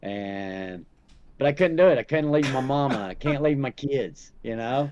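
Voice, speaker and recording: A man with a fairly high voice speaks in a strong Southern US accent. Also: lively intonation, big swings in loudness. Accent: thick Southern drawl. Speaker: podcast guest. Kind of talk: casual chat.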